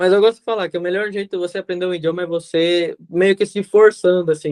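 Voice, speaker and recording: Talking at a very fast pace, a man has a high pitch. His intonation is monotone and flat. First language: Spanish (speaking Portuguese). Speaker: podcast guest. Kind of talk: casual chat.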